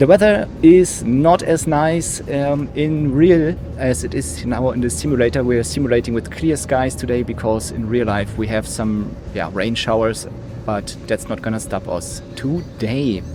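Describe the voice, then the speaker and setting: A man with a German accent, medium pitch, lively intonation and a fairly slow pace, with music in the background. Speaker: flight sim streamer, airshow commentator. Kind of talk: live commentary. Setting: live stream. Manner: hesitant, many fillers.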